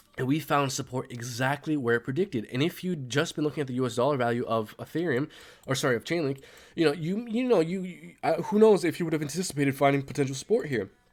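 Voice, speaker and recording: A man talks very fast at a fairly high pitch, his intonation lively. The recording is very clean, with a silent background. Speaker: crypto YouTuber. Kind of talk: technical analysis commentary. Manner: many fillers and false starts.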